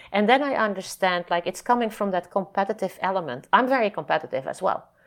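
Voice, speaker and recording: On a very clean recording with a silent background, a woman with a Dutch accent speaks at a fairly quick pace with lively intonation. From Netherlands. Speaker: nonprofit founder and scientist. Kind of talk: interview. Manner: halting.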